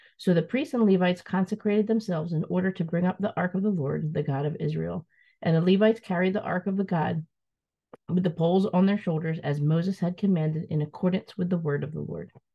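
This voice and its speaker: A woman talks at a very fast pace in a fairly low pitch. Her voice is somewhat breathy, with ordinary pitch variation. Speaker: scripture reader. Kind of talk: reading aloud. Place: home room. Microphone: webcam.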